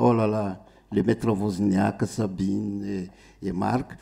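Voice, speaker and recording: A man with a Malagasy accent has a fairly low pitch and a dark, mellow tone. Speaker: musician. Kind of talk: stage talk to audience. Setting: stage with audience. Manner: halting.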